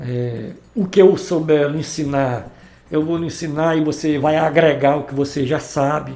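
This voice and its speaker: Recorded with audible room echo, a man speaks at a moderate pace in a fairly high pitch, with a dark, mellow tone and fairly even intonation. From Ceará, Brazil (Santa Quitéria area). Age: 60s. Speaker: musician and former band leader. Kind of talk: interview. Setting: podcast recording.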